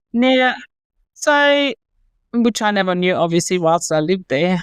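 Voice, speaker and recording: With a German accent, a woman speaks at a moderate pace and with lively intonation in a dry, close sound with no echo and a quiet background. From Germany. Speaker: company founder. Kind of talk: interview.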